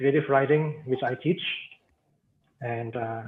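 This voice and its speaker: The pace is moderate. The man's intonation stays monotone and flat. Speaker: university lecturer. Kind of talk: webinar presentation. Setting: video call. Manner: halting.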